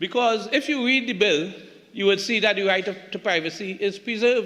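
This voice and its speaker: A man with a Tobago accent, high-pitched, at a moderate pace, over noticeable background noise. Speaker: politician. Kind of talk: parliamentary debate speech. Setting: parliament chamber. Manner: halting, repeats words.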